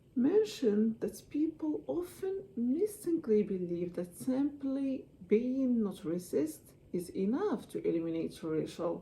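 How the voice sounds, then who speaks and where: The speaker talks at a fairly slow pace with a non-native accent. The pitch swings very widely. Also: woman, fairly high pitch for a woman. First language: not English (English is her third language). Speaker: student giving a class speech. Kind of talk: persuasive speech. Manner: halting.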